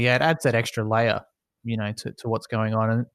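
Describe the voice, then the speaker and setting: A man with an Australian accent talks at a very fast pace and medium pitch. The sound is dry and close with no echo over a quiet background. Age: 20s. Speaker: esports business owner. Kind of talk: casual interview.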